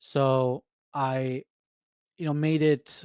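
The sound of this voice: A man speaks in a clear, smooth, slightly mellow tone. The sound is dry and close, with no echo.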